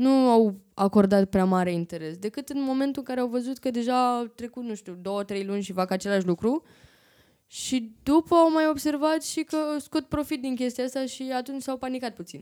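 In a very clean recording with a silent background, a woman speaks at a moderate pace with a high pitch, lively intonation, and a dark, mellow tone. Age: 20s. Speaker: vlogger. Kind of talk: casual interview chat.

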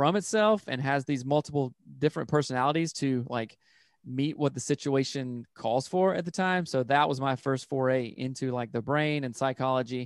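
With an American accent, a man talks at a moderate pace and a fairly high pitch, with ordinary pitch variation, in a dry, close sound with no echo. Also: quiet background. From South Carolina, upstate. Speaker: marriage and family therapist. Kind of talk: casual interview chat.

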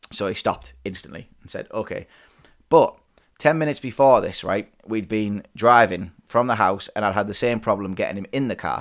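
The speaker has a northern English accent and a moderate pace. Pitch varies in an ordinary way, while loudness swings widely. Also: man, medium pitch for a man. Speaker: podcast host. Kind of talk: casual chat between spouses. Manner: casual, swears often.

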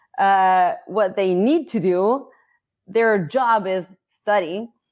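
A woman's medium-pitched voice with an Italian accent and lively intonation, on a very clean recording with a silent background. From Italy. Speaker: learning course manager. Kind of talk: interview.

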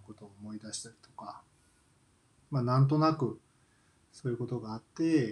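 A man at medium pitch, somewhat breathy, with fairly even intonation and a fairly quick pace. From Kansai, Japan. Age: 40s. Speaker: podcaster, office worker. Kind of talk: solo casual monologue. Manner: hesitant, many fillers.

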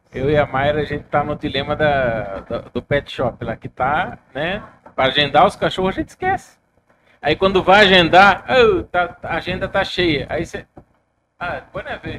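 Using a plain, everyday voice, a man speaks at a fairly slow pace with a fairly high pitch and lively intonation. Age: 40s. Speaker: podcast host. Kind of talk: casual chat. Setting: studio, live stream.

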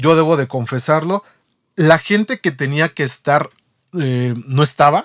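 A man with a fairly high pitch and an unremarkable speaking voice talks at a fairly slow pace with ordinary pitch variation, the sound dry and close with no echo. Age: 30s. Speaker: podcast co-host. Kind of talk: casual chat.

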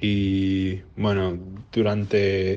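A man talks in a fairly low pitch against a quiet background. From Uruguay. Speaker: listener sending voice message. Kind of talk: recorded voice message.

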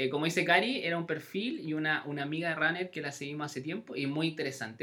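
A man with a Chilean accent and fairly high pitch, over noticeable background noise. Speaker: podcast host. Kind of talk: casual chat. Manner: animated.

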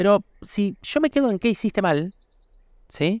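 On a very clean recording with a silent background, a man speaks with a Rioplatense accent. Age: 40s. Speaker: podcast host. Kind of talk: reflective solo monologue. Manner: halting, with frequent repetitions; casual, conversational.

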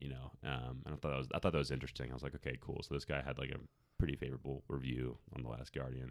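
Very deep and low, a man's voice rushes at a very fast pace with vocal fry and monotone, flat intonation. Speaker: podcast host. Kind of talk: casual chat. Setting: studio.

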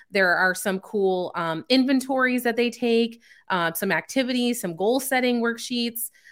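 This woman has a plain, everyday voice pitched fairly high, with an American accent. She talks at a moderate pace. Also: ordinary pitch variation. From California and Chicago suburbs. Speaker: emotional intelligence coach. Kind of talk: interview. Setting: video call.

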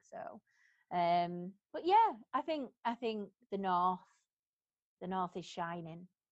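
A woman speaks at a medium pitch. She has a northern English accent. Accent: Greater Manchester northern English. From Bury, Greater Manchester. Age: 40s. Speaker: salon owner. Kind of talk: interview conversation. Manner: animated, humorous.

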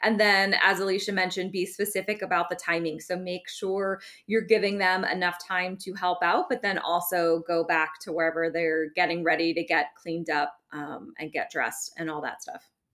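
A woman with a plain, everyday voice talks at a moderate pace with fairly even intonation and hardly any pauses. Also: fairly low pitch for a woman. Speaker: wedding planner. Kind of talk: casual advice chat. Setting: video call.

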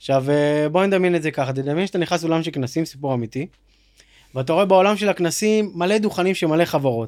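A high-pitched man talks at a very fast pace with ordinary pitch variation, in a very clean recording with a silent background. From Israel, Dimona then Kfar Yona. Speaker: startup founder and CEO, ex-soldier. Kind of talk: casual interview chat.

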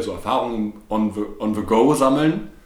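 A man's voice with audible room echo. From Ruhr area, Germany (Bochum). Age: 20s. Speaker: podcast co-host. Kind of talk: casual chat. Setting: living room used as home studio.

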